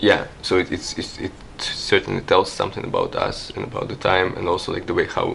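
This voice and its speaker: A man speaks at a moderate pace with a non-native accent. Noticeable background noise is present. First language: not English. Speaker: artist. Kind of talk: interview. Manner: halting, many fillers and repetitions.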